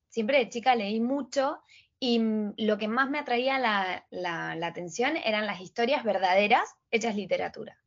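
With a plain, everyday voice, a woman talks at a fairly slow pace and fairly high pitch, her intonation lively. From Argentina, Patagonia (Trelew, Chubut). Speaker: Instagram coach and entrepreneur. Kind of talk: casual interview.

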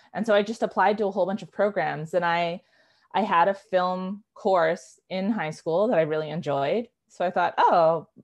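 A woman at a medium pitch with a Western Canadian accent, ordinary pitch variation, a moderate pace and a quiet background. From Canada, East Vancouver. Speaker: writer and filmmaker. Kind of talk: casual interview. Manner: hesitant, many fillers and restarts.

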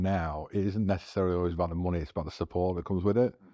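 Against a quiet background, a man talks very fast in a very deep, low pitch, his dark, mellow tone held to a monotone, flat intonation. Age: 40s. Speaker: tech startup founder and filmmaker. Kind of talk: casual interview. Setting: studio.

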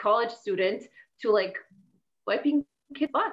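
A woman with a Polish accent at a moderate pace, with ordinary pitch variation. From Poland. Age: 40s. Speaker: fitness and life coach. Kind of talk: interview.

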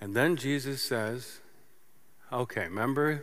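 Audible room echo surrounds a man's voice. He has a medium pitch and a fairly slow pace. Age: 50s. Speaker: pastor. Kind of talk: sermon. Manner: animated.

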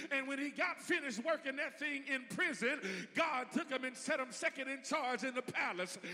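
Over noticeable background noise, a man with an extremely high pitch uses a raised, projected voice, an animated, warm tone and ordinary pitch variation. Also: moderate pace. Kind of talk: sermon. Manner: animated, call-and-response, prompting the congregation to say amen; warm, folksy, humorous, with laughter and a rising preacherly cadence.

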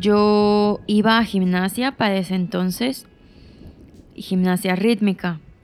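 With music in the background, a woman speaks at a very slow pace. Her voice is medium-pitched with fairly even intonation. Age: 20s. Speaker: podcaster. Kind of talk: personal storytelling monologue.

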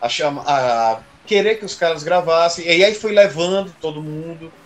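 Noticeable background noise behind a fairly high-pitched male voice. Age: 30s. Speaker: drummer. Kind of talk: casual chat.

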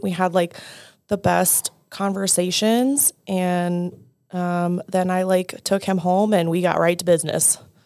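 A woman's ordinary speaking voice in an American accent, medium in pitch, fairly slow and fairly even in intonation, on a very clean recording with a silent background. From Denver, Colorado. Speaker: wife of a pro fighter. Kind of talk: interview.

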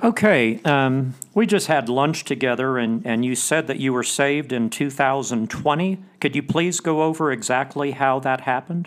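An ordinary speaking voice from a man, fairly high in pitch, with ordinary pitch variation, a moderate pace and hardly any pauses. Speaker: podcast host. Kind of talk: scripture reading and prayer, then interview.

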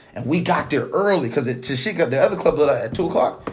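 A man with very wide pitch swings over noticeable background noise. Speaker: podcast host. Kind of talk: casual chat. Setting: at home. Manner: animated.

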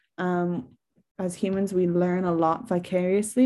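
In an Irish accent, a woman talks at a medium pitch in a dark, mellow tone against a quiet background. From Ireland. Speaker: psychologist giving a talk. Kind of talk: lecture. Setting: online webinar.

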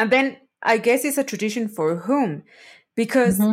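Recorded very cleanly over a silent background, a woman with a fairly high voice speaks at a fairly quick pace with ordinary pitch variation. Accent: Spanish. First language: Spanish. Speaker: podcast host, food anthropologist. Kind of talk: casual chat. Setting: live recording.

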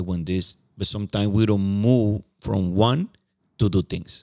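This voice has a dark, mellow tone and a Spanish accent, with fairly even intonation and a dry, close sound with no echo. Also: man. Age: 50s. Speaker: podcast co-host. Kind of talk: casual chat. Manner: halting.

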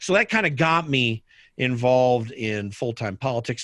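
Lively intonation runs through this moderately paced speech, set against a quiet background. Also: man. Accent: American. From US Midwest, Indianapolis, Indiana. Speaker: political podcaster and former political staffer. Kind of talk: casual interview.

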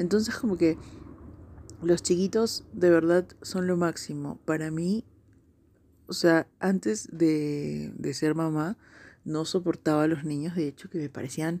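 Speaking in a Peruvian accent, a woman uses a fairly low, dark, mellow voice with ordinary pitch variation at a fairly slow pace. Her long, frequent pauses fall within a very clean recording with a silent background. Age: 30s. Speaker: podcast host. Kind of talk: casual monologue.

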